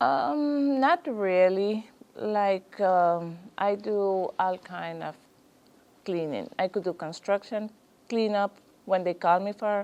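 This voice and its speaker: With a Spanish accent, a woman speaks at a very slow pace using lively intonation. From Guatemala. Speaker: small business owner. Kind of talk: business consultation interview. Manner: halting, hesitant.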